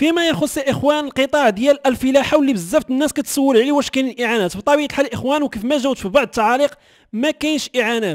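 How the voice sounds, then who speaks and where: Speaking very fast with an extremely high pitch and ordinary pitch variation, a man with a Moroccan accent is heard in a dry, close sound with no echo. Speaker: news channel host. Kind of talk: news commentary.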